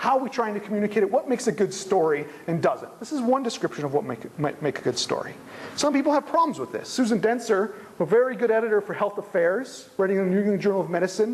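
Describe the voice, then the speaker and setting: Very fast talking runs through noticeable background noise. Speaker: conference speaker on science journalism. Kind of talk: lecture. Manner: informal.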